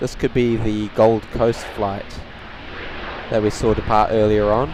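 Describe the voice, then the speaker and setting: Against noticeable background noise, a voice with a New Zealand accent and a relaxed tone speaks at a fairly slow pace in a monotone, flat intonation. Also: man, fairly low pitch for a man. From New Zealand, Tauranga. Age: young. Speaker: plane spotting live streamer. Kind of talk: live stream commentary, chatting with viewers. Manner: casual, relaxed.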